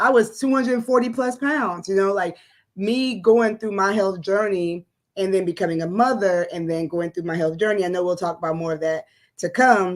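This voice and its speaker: On a very clean recording with a silent background, a woman with a slight West African accent talks at a moderate pace, with a medium pitch and ordinary pitch variation. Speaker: educator and entrepreneur. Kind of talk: casual interview on livestream.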